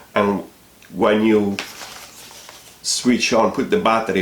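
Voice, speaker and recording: Speaking very slowly with a non-native accent, a man comes through noticeable background noise and audible room echo. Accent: foreign accent, self-noted. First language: not English. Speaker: product reviewer, hobby aeromodeller. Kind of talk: product review. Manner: hesitant, many fillers.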